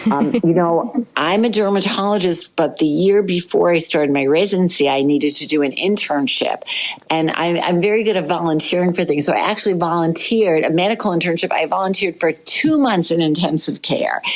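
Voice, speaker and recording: A woman talks at a fairly quick pace with hardly any pauses and very even loudness. Her pitch sits fairly low, and there is noticeable background noise. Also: ordinary pitch variation. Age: 70s. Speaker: dermatologist. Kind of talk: podcast interview.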